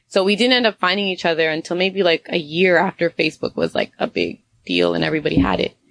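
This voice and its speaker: Her pitch fairly low and marked by vocal fry, a woman talks at a fairly quick pace. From Canada (Toronto area) and Honduras. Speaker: entrepreneur, tea company co-owner. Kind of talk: interview conversation.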